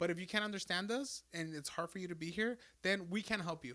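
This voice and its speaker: Talking at a very fast pace, a man has a high pitch and a bright, sharp tone. His pitch varies an ordinary amount. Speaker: podcast co-host. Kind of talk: casual chat. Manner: code-switching between English and Spanish.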